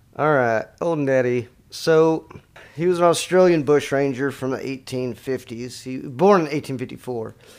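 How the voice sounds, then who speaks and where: With an American accent and an ordinary speaking voice, a man talks at a fairly slow pace in a fairly high pitch, using ordinary pitch variation and big swings in loudness on a very clean recording with a silent background. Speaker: podcast co-host and editor. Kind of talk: casual chat with reading aloud. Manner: joking, casual.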